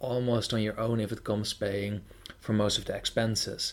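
A man talks with a Dutch accent in a fairly low voice. His intonation stays monotone and flat. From Netherlands. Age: 20s. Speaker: podcast host. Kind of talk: interview.

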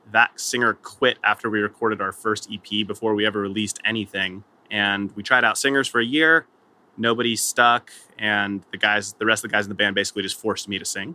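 With fairly even intonation, a plain, everyday voice keeps a fairly quick pace. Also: man. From Southern California. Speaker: musician in an acoustic duo. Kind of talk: casual podcast interview.

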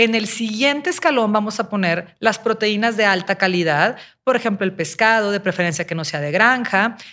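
A woman speaks at a moderate pace with a Mexican accent. Her tone is bright and sharp. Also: medium pitch for a woman, ordinary pitch variation, very clean recording, silent background. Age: 40s. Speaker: nutrition podcast co-host. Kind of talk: casual health podcast explanation.

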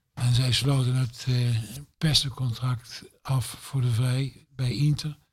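Here a man talks at a very slow pace, his voice somewhat breathy. His pitch sits in the medium range, with monotone, flat intonation. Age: 70s. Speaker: former football club manager. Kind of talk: casual chat.

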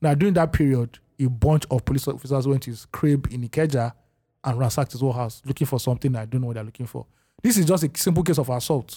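A very fast man with a Nigerian accent, somewhat breathy, with a dark, mellow tone, medium pitch and ordinary pitch variation, in a very clean recording with a silent background. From Lagos, Nigeria. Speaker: podcast host. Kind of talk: casual chat.

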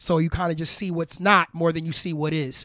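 On a very clean recording with a silent background, a man with a New York accent speaks at a high pitch in a dry, close sound with no echo. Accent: New York City. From Harlem, New York City. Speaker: hip hop artist. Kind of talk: casual interview. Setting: home garage studio.

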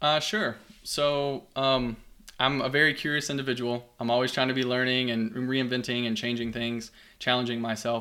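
With a Kentucky accent, a man talks at a moderate pace and medium pitch in a bright, sharp tone with fairly even intonation. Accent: Kentucky Southern US. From Kentucky, US. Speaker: geography professor. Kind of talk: casual interview chat.

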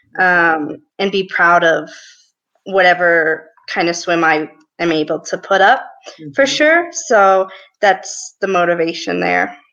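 With a normal speaking voice, a woman speaks at a fairly slow pace and ordinary pitch variation. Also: fairly low pitch for a woman. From US, small town. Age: 20s. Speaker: Paralympic swimmer. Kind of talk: interview.

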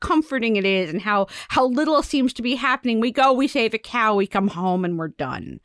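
Recorded very cleanly with a silent background and a dry, close sound without echo, a woman with an ordinary speaking voice talks at a medium pitch and moderate pace with lively intonation. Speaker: podcast co-host. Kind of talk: casual chat podcast.

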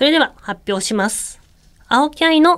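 In a Kansai accent, a woman speaks with very wide pitch swings. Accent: Kansai Japanese. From Japan, Kyoto. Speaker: radio host and former synchronized swimmer. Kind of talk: solo radio talk. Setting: radio studio. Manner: casual, chatty with laughter.

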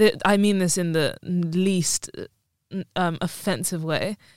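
Her voice sits at a medium pitch. The recording is very clean and the background silent. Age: 20s. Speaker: podcast co-host. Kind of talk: casual chat. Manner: animated.

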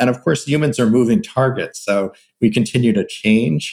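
A man with an ordinary speaking voice, ordinary pitch variation and a moderate pace. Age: 60s. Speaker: psychology professor and researcher. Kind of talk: interview conversation.

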